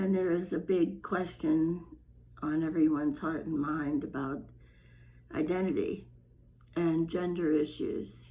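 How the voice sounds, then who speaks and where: This woman has a fairly low pitch, a dark, mellow tone, vocal fry and fairly even intonation. She speaks at a fairly slow pace with long, frequent pauses, and audible room echo surrounds her. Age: 70s. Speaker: storyteller and video blogger. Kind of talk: casual personal monologue. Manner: halting.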